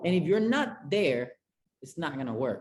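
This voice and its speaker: A man with a Spanish accent talks at a moderate pace in a high pitch with lively intonation. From Venezuela, Caracas. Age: 20s. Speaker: chef and restaurant consultant. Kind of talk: interview.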